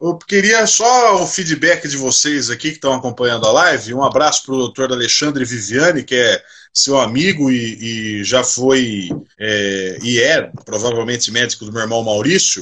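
Here is a man with an ordinary speaking voice at a medium pitch. He talks at a moderate pace with lively intonation. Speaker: live stream host. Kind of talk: casual chat.

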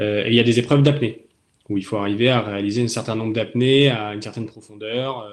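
A man with a plain, everyday voice keeps fairly even intonation while his loudness swings widely. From southern France (Toulon). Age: 20s. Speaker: navy officer, mine-clearance diver. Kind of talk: interview in a webinar. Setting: online webinar.

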